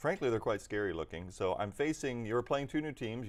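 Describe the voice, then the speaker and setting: On a very clean recording with a silent background, a man with a plain, everyday voice speaks at medium pitch with lively intonation. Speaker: tabletop gaming stream host and hobby store runner. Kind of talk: live stream game commentary. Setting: hobby store, live stream.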